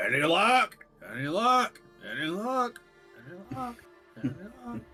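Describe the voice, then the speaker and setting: Faint music plays behind a man doing a put-on character voice. The voice is high in pitch and moves at a moderate pace. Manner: shouting, repetitive.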